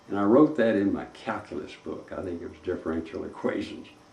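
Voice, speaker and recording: Somewhat breathy, a man speaks in a Texan accent with audible room echo. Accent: Texan Southern US. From East Texas (Tyler). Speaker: retired civil engineer. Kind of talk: interview reminiscence. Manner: slow; halting.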